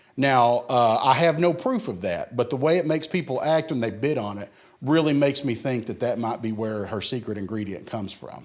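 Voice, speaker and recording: A man with a normal speaking voice talks at a fairly quick pace and medium pitch, his intonation lively, with hardly any pauses. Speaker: auctioneer. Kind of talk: auction presentation, casual talk to camera. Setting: church event walkthrough video. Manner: humorous, chatty, joking.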